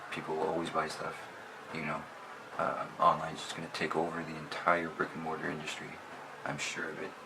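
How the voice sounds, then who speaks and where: A man with a very deep, low pitch talks at a fairly quick pace, with audible room echo and noticeable background noise. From Canada, Sudbury, Ontario. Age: 30s. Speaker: online clothing reseller. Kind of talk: casual vlog monologue. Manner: casual, hesitant with many fillers.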